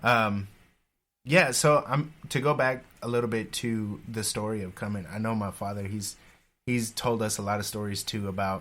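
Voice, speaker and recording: A man's fairly low voice at a moderate pace, with ordinary pitch variation, on a very clean recording with a silent background. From Independence, Missouri (US Midwest). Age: young. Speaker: podcast guest. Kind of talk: interview conversation.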